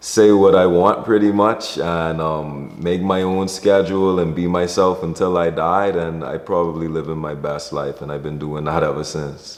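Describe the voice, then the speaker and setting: A man with a Bahamian accent, very deep and low in pitch, at a moderate pace with fairly even intonation and hardly any pauses, over noticeable background noise. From Bahamas. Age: 20s. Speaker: entertainer and creative director. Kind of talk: interview monologue. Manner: casual, conversational.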